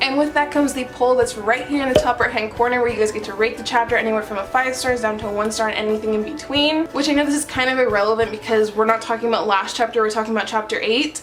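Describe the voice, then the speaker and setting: A woman's animated, fairly high voice at a very fast pace with hardly any pauses, music in the background. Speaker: manga reaction youtuber. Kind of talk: casual review chat.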